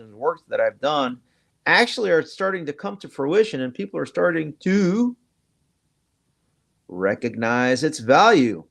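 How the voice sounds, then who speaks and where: A man speaks at a moderate pace in a fairly high pitch, with lively intonation and an animated tone against a quiet background. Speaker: online show host. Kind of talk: political commentary show.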